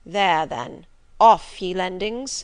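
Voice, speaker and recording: A woman uses a put-on character voice that is raspy and set at a medium pitch. Her intonation is lively. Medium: read story. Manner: commanding, ironic.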